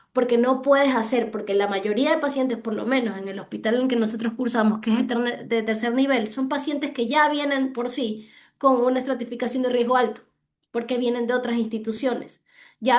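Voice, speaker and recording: Fairly quick in pace, a woman speaks at a fairly high pitch. Her intonation stays fairly even. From Ecuador. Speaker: hospital physician presenting a clinical case. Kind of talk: case discussion in online medical session.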